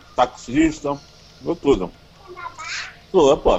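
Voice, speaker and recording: A man's voice over noticeable background noise. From Rio de Janeiro, Brazil. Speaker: YouTuber and composer. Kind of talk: casual chat. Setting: phone call from a taxi. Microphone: call drops in tunnel.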